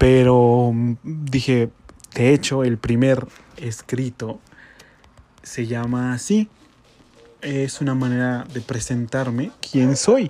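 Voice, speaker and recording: Pausing long and often, a man speaks at a very slow pace with fairly even intonation. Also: medium pitch for a man. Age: 20s. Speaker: podcaster. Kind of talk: casual monologue. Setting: home bedroom.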